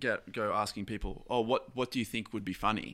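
Recorded very cleanly against a silent background, a man speaks at a fairly quick pace with an Australian accent. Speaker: comedian. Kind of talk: casual podcast interview.

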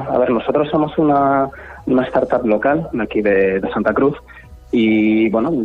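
A man's medium-pitched voice with ordinary pitch variation, set against noticeable background noise. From Asturias, Spain. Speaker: startup founder. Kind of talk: radio interview.

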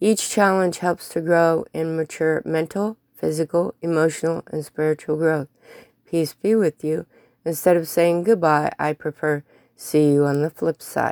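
Here is a woman with an unremarkable speaking voice, fairly low in pitch and fairly even in intonation. The sound is dry and close, with no echo. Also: fairly slow pace. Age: 50s. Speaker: blogger reading own posts. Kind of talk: reading aloud.

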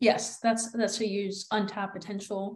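A woman with a fairly high pitch speaks at a moderate pace, her voice somewhat breathy. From Netherlands. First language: Dutch. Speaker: content creator. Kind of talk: casual chat.

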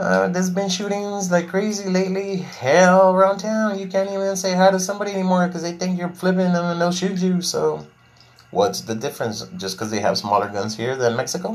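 A man with an American accent speaks at a fairly quick pace in a high voice for a man, with audible room echo around him. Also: ordinary pitch variation. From Texas, Laredo. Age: 40s. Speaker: podcast host. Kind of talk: casual monologue, venting.

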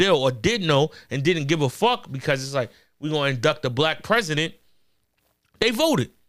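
This man has a New York accent and a bright, sharp tone. His pitch is fairly high, his intonation lively, and his pace fairly quick. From Corona, Queens, New York. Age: 30s. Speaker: battle rapper. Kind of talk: casual chat.

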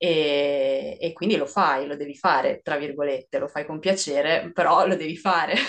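The woman's voice is fairly low in pitch. She keeps a moderate pace. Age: 30s. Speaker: mentoring client. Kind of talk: testimony. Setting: video call. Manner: halting.

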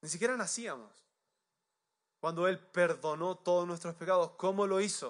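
Against a quiet background, a man with a high pitch and ordinary pitch variation talks at a moderate pace, leaving long, frequent pauses. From Chile. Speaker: pastor. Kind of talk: sermon.

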